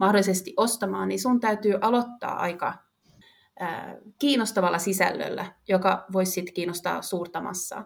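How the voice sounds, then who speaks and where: A woman speaks at a medium pitch, her voice showing vocal fry. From Finland, Vaasa. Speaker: marketing manager. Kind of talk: interview.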